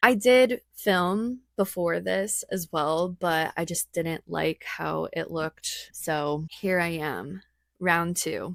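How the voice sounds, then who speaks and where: A woman at a very slow pace, dry and close with no echo. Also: fairly low pitch for a woman, ordinary pitch variation, very clean recording, silent background. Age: 20s. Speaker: vlogger and creator entrepreneur. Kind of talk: vlog narration. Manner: casual.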